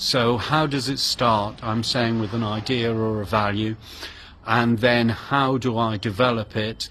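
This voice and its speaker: A man at medium pitch speaks at a fairly slow pace in a monotone, flat intonation over noticeable background noise. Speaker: artist. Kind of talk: casual vlog talk.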